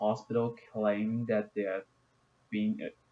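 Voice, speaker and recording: In a Chinese accent, a man talks at a fairly low pitch with monotone, flat intonation. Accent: non-native English, Chinese. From China. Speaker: gaming YouTuber. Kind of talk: video game explainer. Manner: halting, many fillers.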